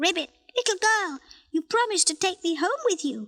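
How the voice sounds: A woman puts on a croaky character voice pitched extremely high. She keeps a moderate pace.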